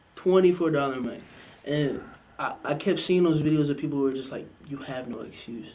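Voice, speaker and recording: A man with an American accent, fairly high in pitch and dark, mellow in tone, at a fairly quick pace with ordinary pitch variation, big swings in loudness and audible room echo. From Maryland, US. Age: young. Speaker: musician. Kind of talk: casual chat.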